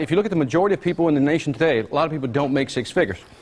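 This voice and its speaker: Lively in intonation and very fast, a man with an American accent speaks at a fairly high pitch. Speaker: business seminar speaker. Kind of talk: live seminar presentation. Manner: animated, interactive.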